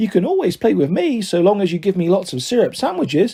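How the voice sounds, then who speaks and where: A man puts on a squeaky character voice pitched high. He rattles through his lines at a very fast pace. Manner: playful, cheeky.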